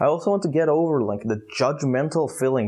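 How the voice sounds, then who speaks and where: Talking at a fairly quick pace in an Israeli accent, a man shows ordinary pitch variation against a quiet background. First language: Hebrew. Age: 20s. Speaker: youtuber. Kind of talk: vlog monologue. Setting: outdoors. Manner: halting.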